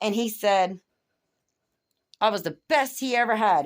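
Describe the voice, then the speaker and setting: On a very clean recording with a silent background, a woman speaks at a fairly high pitch. Her tone is bright, sharp, and animated, with very wide pitch swings. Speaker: vlogger venting about her marriage. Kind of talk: personal rant. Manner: fast, talkative.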